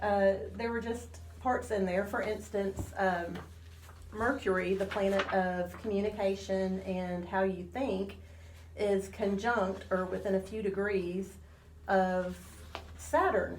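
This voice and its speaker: A woman speaks at a fairly slow pace. There is noticeable background noise and audible room echo. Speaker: astrologer. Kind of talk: radio interview.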